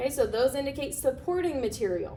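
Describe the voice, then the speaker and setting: A loud woman with a high voice speaks in an animated tone, her pitch swinging very widely, with audible room echo. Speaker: teacher. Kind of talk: lecture.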